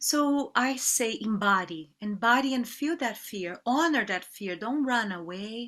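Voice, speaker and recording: A woman in a Portuguese accent, fairly high-pitched and bright, sharp in tone, with lively intonation at a fairly slow pace. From Brazil. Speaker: yoga teacher. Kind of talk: interview. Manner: halting.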